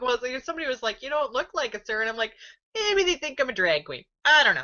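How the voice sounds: A woman speaks fast with a high pitch and big pitch swings. Her tone is bright and sharp.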